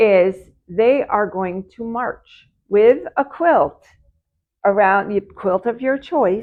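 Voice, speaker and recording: A woman's voice at medium pitch with ordinary pitch variation. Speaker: quilt shop co-host. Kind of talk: livestream casual chat. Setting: in a shop, live video stream. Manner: animated, pitch rises when excited.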